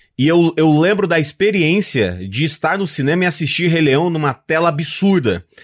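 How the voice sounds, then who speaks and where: Ordinary pitch variation in a normal speaking voice. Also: man, very clean recording, silent background. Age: 30s. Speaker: comedian. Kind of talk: casual chat.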